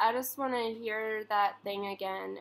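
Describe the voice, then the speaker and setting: A woman speaks with a fairly high pitch. Her intonation stays fairly even. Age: 20s. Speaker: comedian and video streamer. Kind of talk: casual chat. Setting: call. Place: home room. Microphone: webcam.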